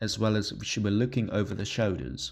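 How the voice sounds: A man with a fairly low pitch speaks at a moderate pace, his voice carrying vocal fry and a slightly husky edge. The recording is very clean with a silent background.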